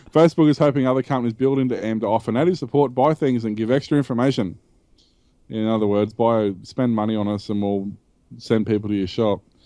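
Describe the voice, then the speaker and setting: Talking at a very fast pace, a man with an Australian accent has a medium pitch, a dark, mellow tone and ordinary pitch variation against a quiet background. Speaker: tech podcast host. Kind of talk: casual chat.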